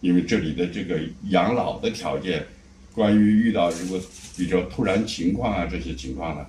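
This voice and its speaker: A man's very deep, low voice at a moderate pace, with lively intonation. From Shanxi, China. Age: 70s. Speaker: retiree. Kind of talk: interview answer.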